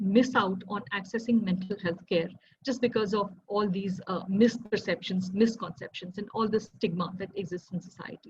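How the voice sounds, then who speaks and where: Speaking at a moderate pace with an Indian accent, a woman uses a medium pitch, ordinary pitch variation and a somewhat breathy voice, with big swings in loudness. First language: Hindi. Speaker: civil servant and mental health advocate. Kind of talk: talk sharing lived experience. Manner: hesitant, many fillers.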